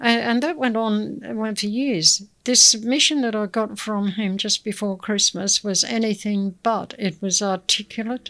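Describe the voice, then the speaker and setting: A woman with an Australian accent speaks at a fairly slow pace and fairly high pitch, with ordinary pitch variation. Noticeable background noise runs under her voice. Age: 80s+. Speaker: community elder. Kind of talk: interview.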